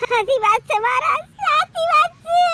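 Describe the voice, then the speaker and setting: A woman's put-on character voice at an extremely high pitch, with very wide pitch swings, at a moderate pace. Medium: comedy sketch. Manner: fawning.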